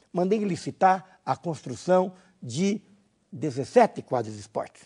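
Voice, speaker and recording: This man speaks with lively intonation. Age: 60s. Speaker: former mayor teaching a course. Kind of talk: lecture. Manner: halting, with fillers.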